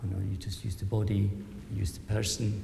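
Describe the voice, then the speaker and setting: A soft-spoken voice with audible room echo and music in the background. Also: man. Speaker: conversation chair, professor and artist. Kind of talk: panel discussion introduction. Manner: halting. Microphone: speaking into a microphone, quiet.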